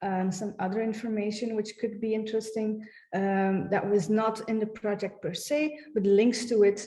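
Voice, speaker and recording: A somewhat breathy woman's voice, dark and mellow in tone, medium in pitch, at a moderate pace over a quiet background. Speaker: heritage project staff presenting website; presenter. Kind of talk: conference presentation with screen demo. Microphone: webcam.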